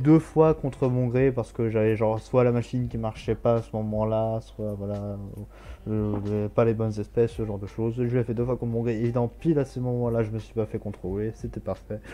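This man's intonation is fairly even. The tone is dark and mellow. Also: medium pitch for a man, moderate pace. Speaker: talk show co-host. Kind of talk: casual chat.

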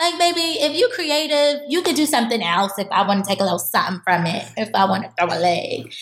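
A fairly high-pitched woman with a New York accent, very fast pace, very wide pitch swings and noticeable background noise. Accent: New York City. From Harlem, New York City. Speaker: professional dancer. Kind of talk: interview.

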